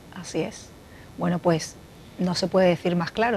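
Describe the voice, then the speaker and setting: A woman speaks at a moderate pace. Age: 40s. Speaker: talk show host. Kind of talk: interview. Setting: studio.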